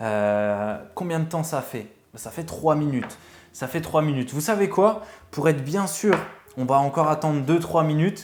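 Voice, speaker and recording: Over noticeable background noise, a man talks at a fairly slow pace with a fairly high pitch and lively intonation. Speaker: vape reviewer, YouTuber. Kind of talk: casual product review, unboxing. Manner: hesitant, many fillers (euh).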